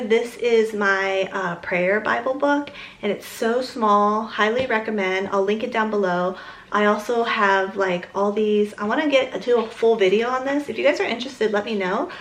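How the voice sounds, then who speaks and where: A woman speaks at a moderate pace and a fairly high pitch. Noticeable background noise and audible room echo are present. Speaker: lifestyle vlogger. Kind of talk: casual chat.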